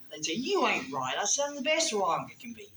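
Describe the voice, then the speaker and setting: A woman with a North Carolina accent, noticeable background noise behind her. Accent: Southern US (North Carolina). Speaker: comedian. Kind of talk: stand-up. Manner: fast.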